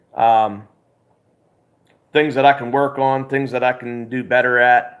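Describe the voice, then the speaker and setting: A man with an American accent speaks at a fairly slow pace in a medium pitch, his intonation monotone and flat. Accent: Pennsylvania Dutch. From Pennsylvania, US. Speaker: outdoors YouTuber. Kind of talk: live stream chat. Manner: halting, many fillers.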